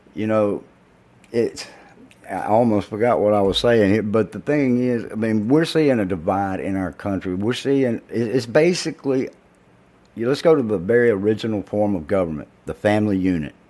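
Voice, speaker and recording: A man with an American accent speaks at a moderate pace in a fairly low pitch, his tone dark and mellow, with ordinary pitch variation. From US South. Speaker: podcast co-host. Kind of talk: casual chat.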